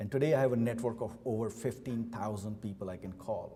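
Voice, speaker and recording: A man speaks at a medium pitch with ordinary pitch variation. His voice is somewhat breathy and his pace moderate. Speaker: company CEO. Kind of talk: keynote speech. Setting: luncheon event with audience.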